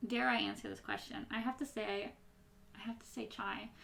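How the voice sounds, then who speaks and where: The tone is bright and sharp, with vocal fry and an American accent. Delivery moves at a fairly quick pace. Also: woman. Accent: Midwestern, slightly twangy at times. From US Midwest. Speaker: YouTuber. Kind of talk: casual Q&A chat. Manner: sometimes mushes words when rushing.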